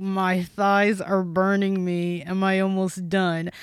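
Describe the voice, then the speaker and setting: In a put-on character voice, a female-sounding speaker at a medium pitch sounds strained, using a monotone, flat intonation at a fairly slow pace over light background noise. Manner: strained, through gritted teeth.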